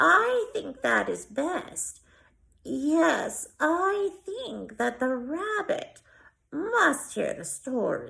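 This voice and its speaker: In a put-on character voice, the speaker goes at a very slow pace with big swings in loudness. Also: woman. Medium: read story. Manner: slow, deliberate.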